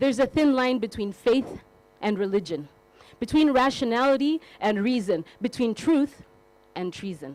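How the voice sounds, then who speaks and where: A plain, everyday voice at a moderate pace with lively intonation. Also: woman, fairly high pitch for a woman. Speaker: spoken word poet. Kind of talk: spoken word poetry performance.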